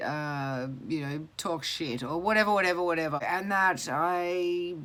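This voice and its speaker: A woman with an Australian accent talks in a fairly low voice with ordinary pitch variation, hardly pausing at all. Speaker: mental health mentor. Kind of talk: casual vlog talk to camera. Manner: hesitant, rambling.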